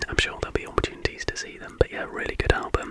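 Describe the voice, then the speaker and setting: Noticeable background noise surrounds a man who is whispering. His pace is fairly quick. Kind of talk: casual ramble to camera. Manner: whispered.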